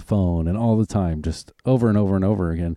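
This man has a Southern US accent and a fairly low pitch, with ordinary pitch variation and a dark, mellow tone at a moderate pace. The recording is very clean with a silent background, and the sound is dry and close with no echo. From US South, Arkansas and Oklahoma. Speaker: podcast host. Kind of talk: casual chat.

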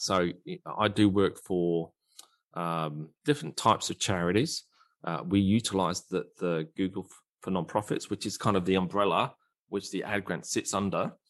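Over a quiet background, a man with an Australian accent and a very deep, low pitch speaks at a moderate pace, with ordinary pitch variation and big swings in loudness. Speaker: digital marketing strategist. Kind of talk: casual interview.

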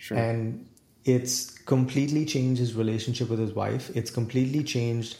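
A dark, mellow, somewhat breathy tone at a moderate pace, with fairly even intonation. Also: man, medium pitch for a man. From India, New Delhi. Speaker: executive coach and author. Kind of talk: casual interview.

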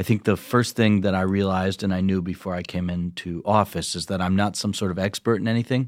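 Here a man talks at a fairly quick pace with a fairly low pitch and monotone, flat intonation. The sound is dry and close with no echo. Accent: American. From rural Michigan, Ovid-Elsie. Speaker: state legislator. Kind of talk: interview conversation. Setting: studio.

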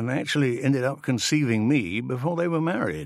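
On a very clean recording with a silent background, a man with a warm tone speaks at a moderate pace. His medium pitch swings very widely. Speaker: audiobook narrator reading a farmer's memoir. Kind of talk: scripted narration, reading a first-person life story aloud. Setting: studio. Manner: warm, reflective, gently wry storytelling.

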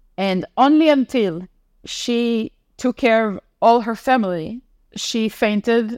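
A woman speaks with an Israeli accent at a fairly high pitch with ordinary variation. The sound is dry and close, with no echo. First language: Hebrew. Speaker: former diplomat and content consultant. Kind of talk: interview testimony. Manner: halting.

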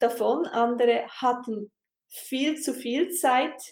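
A woman's high-pitched voice at a very slow pace. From Switzerland. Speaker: podcast host, coach. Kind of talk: casual interview.

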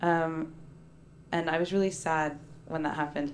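A woman with an unremarkable speaking voice, fairly low in pitch, with ordinary pitch variation and a fairly quick pace. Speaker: poet and performer. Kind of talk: stage poetry performance. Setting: stage with audience.

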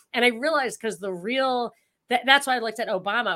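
Bright and sharp in tone, a woman talks with ordinary pitch variation in a slight New York accent. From New York, Rockland County. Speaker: political commentator. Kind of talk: casual chat.

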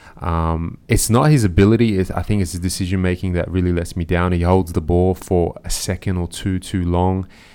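A man with an Australian accent, very deep and low in pitch with a dark, mellow tone, at a moderate pace with fairly even intonation and hardly any pauses, in a very clean recording with a silent background. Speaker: football podcast host. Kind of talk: casual chat.

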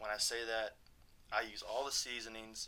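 A man's medium-pitched voice in a Texan accent, bright and sharp in tone, at a moderate pace. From Texas, Abilene. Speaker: EMT and personal trainer. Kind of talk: casual interview chat.

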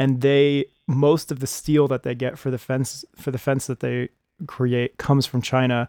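An ordinary speaking voice moves at a moderate pace. The sound is dry and close, with no echo. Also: man. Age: 30s. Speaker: podcast host. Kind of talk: casual chat.

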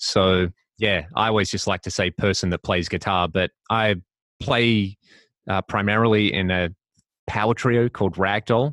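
Fairly even intonation in an Australian accent at a moderate pace, with a dry, close sound and no echo. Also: man, fairly low pitch for a man. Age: 30s. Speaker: guitarist and YouTube content creator. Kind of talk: interview, casual chat. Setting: video call.

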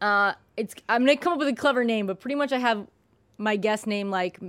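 A woman talks fairly quickly in a fairly high pitch with ordinary pitch variation. It is an ordinary speaking voice. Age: 30s. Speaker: podcast host. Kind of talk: casual chat.

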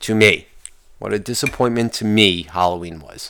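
It is a man with a normal speaking voice. He keeps a moderate pace and ordinary pitch variation. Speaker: podcast host. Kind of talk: angry rant, profane solo podcast monologue. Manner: ranting, profane, exasperated, loud and heated; rambling, casual, self-interrupting.

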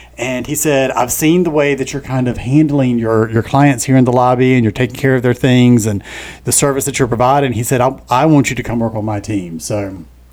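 A man with an American accent talks fairly quickly at a medium pitch. He has an ordinary speaking voice with ordinary pitch variation. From US South, eastern North Carolina (Onslow County). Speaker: podcast co-host and mortgage lender. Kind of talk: casual chat.

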